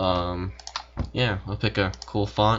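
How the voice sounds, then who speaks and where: A man's voice over noticeable background noise. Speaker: software tutorial maker. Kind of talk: tutorial. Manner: fast; casual with many fillers.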